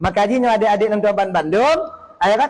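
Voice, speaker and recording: There is noticeable background noise as a man with an Acehnese accent speaks at a moderate pace in a high pitch. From Aceh, Indonesia. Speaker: Islamic preacher. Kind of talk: religious sermon. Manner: firm, relaxed.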